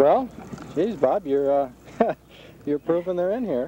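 A man with a fairly high pitch talks at a fairly slow pace, his dark, mellow tone carrying a slightly husky edge and lively intonation.

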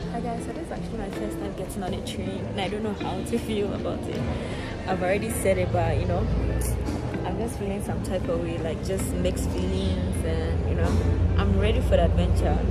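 Clear music sounds behind the speaker. She is a woman speaking at a fairly quick pace. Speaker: travel vlogger. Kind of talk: casual vlog chat. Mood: excited, mixed feelings. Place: station. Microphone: phone near.

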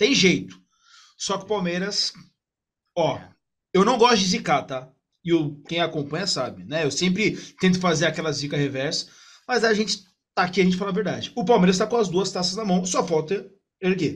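A man speaks with a high pitch and ordinary pitch variation at a moderate pace. He leaves long, frequent pauses against a quiet background. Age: 20s. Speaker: sports journalist. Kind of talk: casual football debate. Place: home room. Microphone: video call.

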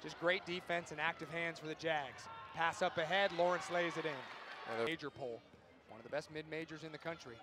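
There is noticeable background noise as a man talks with big swings in loudness. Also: fairly high pitch for a man, fairly quick pace. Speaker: sports play-by-play announcer. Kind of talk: live sports commentary, highlight reel play-by-play. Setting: basketball arena broadcast. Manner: fast, animated, excited; rapid-fire, high-energy calls.

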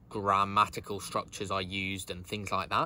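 A man with a British accent speaks at a fairly low pitch. His tone is bright and sharp, and the sound is dry with no echo. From UK. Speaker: university student vlogger. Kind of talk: casual vlog recap. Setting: home, sit-down video. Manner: casual, with fillers. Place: garden. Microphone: phone near.

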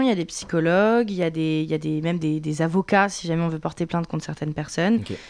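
Against a quiet background, a woman speaks at a very fast pace. Her voice is fairly low, with ordinary pitch variation. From France. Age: 20s. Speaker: content creator. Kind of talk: interview. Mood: earnest, somewhat emotional. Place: studio. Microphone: studio mic.

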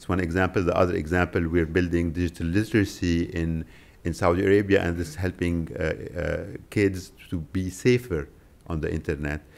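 A man's very deep, low voice at a moderate pace, with fairly even intonation. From Lebanon. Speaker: tech company policy executive; conference panelist. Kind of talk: press conference presentation. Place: hall. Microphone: podium.

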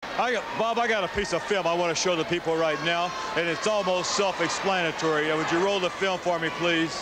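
A man talks at a fairly quick pace with hardly any pauses. The sound is dry with no echo, under loud background noise. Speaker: professional wrestler / wrestling manager. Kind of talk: wrestling promo, boastful and angry, addressing a rival. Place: studio. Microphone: handheld.

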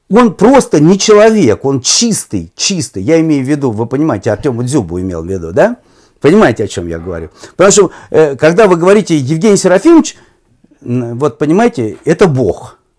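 Very wide swings in pitch from a male speaker, over a quiet background. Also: fairly high pitch for a man, fairly quick pace. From Russia. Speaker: football commentator. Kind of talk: interview conversation. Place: home room. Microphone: lapel.

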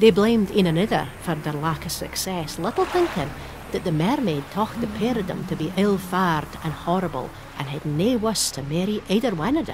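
A woman with a Shetland accent, lively intonation and a moderate pace, against noticeable background noise. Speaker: storyteller narrator. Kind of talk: storytelling narration.

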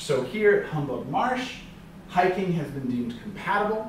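A man amid light background noise and audible room echo. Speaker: presenter. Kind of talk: lecture. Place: classroom. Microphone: camera far.

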